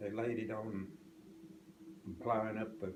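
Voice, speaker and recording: Speaking very slowly, a man uses an American accent. His voice sits fairly low. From southwest Oklahoma. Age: 80s+. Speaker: farmer. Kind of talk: interview answer.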